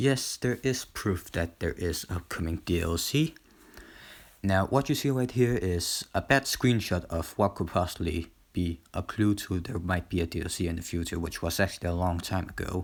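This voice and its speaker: A man's very deep, low voice with a non-native accent at a moderate pace, in a very clean recording with a silent background. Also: ordinary pitch variation. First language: not English. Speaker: gaming YouTuber. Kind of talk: casual video commentary. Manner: halting, many fillers.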